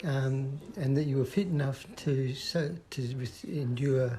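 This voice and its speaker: A somewhat breathy man with an Australian accent, medium pitch, dark, mellow tone and fairly even intonation. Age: 60s. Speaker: person living with Parkinson's. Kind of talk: interview.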